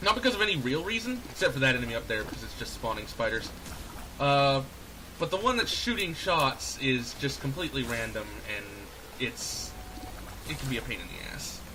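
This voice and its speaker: Over noticeable background noise and audible room echo, the speaker moves at a fairly quick pace, with very wide pitch swings and long, frequent pauses. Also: man, fairly high pitch for a man. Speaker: gaming youtuber. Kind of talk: let's play commentary. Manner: stumbling over words; slightly slurred. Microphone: poor audio balancing.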